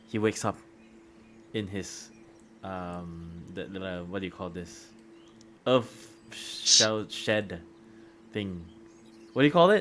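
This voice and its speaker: Very slow speech with long, frequent pauses, big swings in loudness and ordinary pitch variation, music in the background. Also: man, very deep, low pitch for a man. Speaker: game master. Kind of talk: tabletop roleplay narration. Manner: halting.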